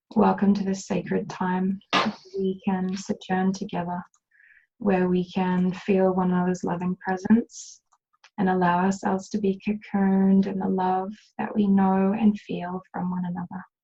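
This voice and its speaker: A woman speaks at a medium pitch with a dark, mellow tone and a somewhat breathy quality. Her intonation is monotone and flat. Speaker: healer and meditation guide. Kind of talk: guided meditation. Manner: soft-spoken, slow.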